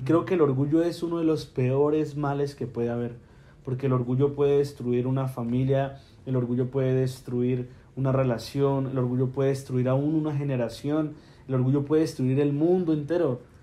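A man's monotone, flat delivery at medium pitch and moderate pace, with audible room echo. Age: 20s. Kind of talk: casual faith conversation.

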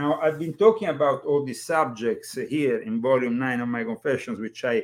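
Speaking with an Italian accent, a man uses lively intonation at a fairly high pitch. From Italy. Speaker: podcast host and author. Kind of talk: casual chat. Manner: animated.

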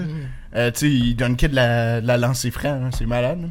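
The speaker has a Quebec accent, and the recording is very clean with a silent background. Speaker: podcast co-host. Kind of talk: casual chat.

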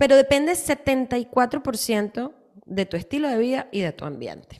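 Speaking very slowly, a woman with a high pitch uses lively intonation. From Latin America. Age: 40s. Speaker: health and nutrition podcast host. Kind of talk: casual health chat.

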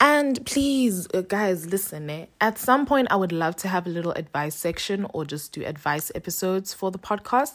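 A woman talks at a moderate pace with hardly any pauses, her medium pitch making very wide swings. Her tone is animated. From South Africa, Cape Town. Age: 20s. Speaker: podcast host, law student. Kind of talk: solo podcast monologue.

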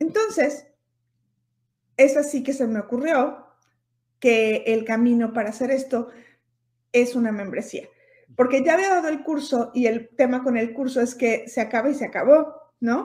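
A woman's high voice with a Mexican accent, fairly slow, with ordinary pitch variation and long, frequent pauses. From Mexico (Puebla, Hermosillo, Mexico City). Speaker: fashion stylist and image consultant. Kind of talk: interview.

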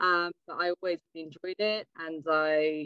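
Here a woman with an English accent speaks at a fairly slow pace. Her fairly low voice keeps a monotone, flat intonation. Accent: English-sounding. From France (Savoie, Alps), English parents. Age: 20s. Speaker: ski mountaineering athlete. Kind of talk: podcast interview.

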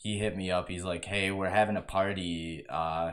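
This man has a very deep, low voice and speaks at a moderate pace. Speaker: podcast host. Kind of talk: casual chat. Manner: casual, profane.

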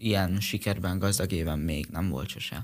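Ordinary pitch variation runs through an unremarkable speaking voice delivered at a fairly slow pace. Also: man. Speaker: karate athlete. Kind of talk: radio interview.

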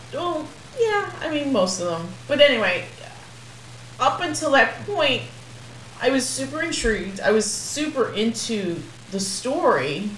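Noticeable background noise sits behind a woman speaking at a fairly slow pace. Her fairly high voice makes very wide pitch swings, broken by long, frequent pauses. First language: Spanish. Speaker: podcast co-host, movie reviewer. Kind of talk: casual chat.

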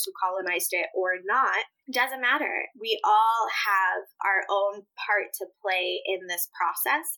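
A woman's bright, sharp, medium-pitched voice at a fairly slow pace, with hardly any pauses. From Puerto Rico, then US Midwest from age 8. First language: Spanish. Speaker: yoga teacher and anti-racism educator. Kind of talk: interview.

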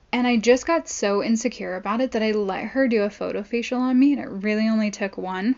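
A woman with an American accent talks at a very fast pace with hardly any pauses, a fairly high pitch, and ordinary pitch variation, over noticeable background noise. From Southern California. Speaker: podcast host. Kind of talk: casual monologue.

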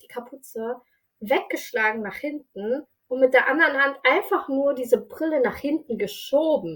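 Lively intonation from a woman with a high pitch, at a fairly slow pace. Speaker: social worker. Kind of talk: casual chat. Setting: video call. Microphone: no professional microphone, poor sound quality.

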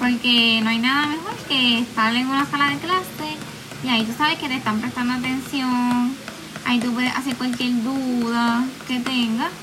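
Over noticeable background noise and audible room echo, a high-pitched woman talks at a moderate pace with fairly even intonation. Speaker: student. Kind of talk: solo podcast monologue.

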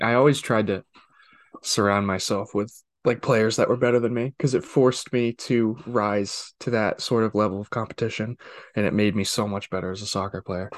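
Against a quiet background, a man with an unremarkable speaking voice and a fairly low pitch talks at a moderate pace in a dry, close sound with no echo. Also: fairly even intonation. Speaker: podcast co-host. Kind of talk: casual chat.

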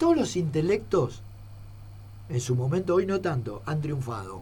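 This man has a dark, mellow tone and vocal fry at a fairly high pitch. He speaks at a moderate pace. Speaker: retired footballer. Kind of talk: interview.

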